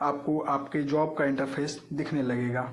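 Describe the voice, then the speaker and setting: Audible room echo carries a man's voice, spoken with fairly even intonation. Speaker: job updates YouTuber. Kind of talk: screen-recorded tutorial. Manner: halting.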